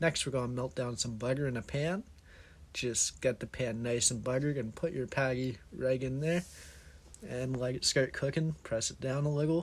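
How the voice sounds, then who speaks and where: A man talks at a moderate pace with a medium pitch. His voice is somewhat breathy, with ordinary pitch variation. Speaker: aspiring home cook. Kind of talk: cooking tutorial narration.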